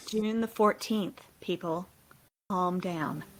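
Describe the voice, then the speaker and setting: This put-on character voice sounds female and robotic, at a medium pitch. It moves at a very slow pace. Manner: flat, mechanical.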